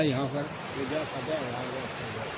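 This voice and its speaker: A man talks at a fairly high pitch in a monotone, flat delivery. Noticeable background noise runs behind him. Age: 70s. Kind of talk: interview answer, telling a story.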